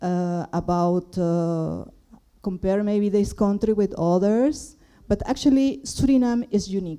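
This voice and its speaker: In a Spanish accent, a woman speaks fairly slowly at a medium pitch, her tone dark and mellow. Her intonation is lively, and the recording is very clean with a silent background. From Peru. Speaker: audience member asking a question. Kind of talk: Q&A question from the floor. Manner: halting.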